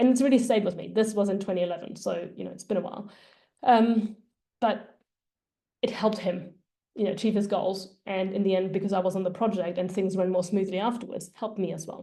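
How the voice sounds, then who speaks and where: A dark, mellow tone in a German accent, with fairly even intonation and a fairly quick pace. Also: woman, medium pitch for a woman, big swings in loudness. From Germany. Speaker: data career coach. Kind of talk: presentation.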